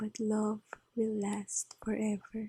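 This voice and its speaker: A soft-spoken woman talks very slowly in a calm tone at a fairly high pitch. Her voice is somewhat breathy, with a dark, mellow tone. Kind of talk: ASMR Bible reading and devotion. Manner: soft-spoken, calm.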